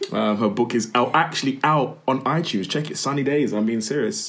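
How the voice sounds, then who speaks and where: This man's pitch varies in an ordinary way as he talks fairly quickly, with noticeable background noise behind him. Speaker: podcast host. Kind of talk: casual chat. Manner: fast.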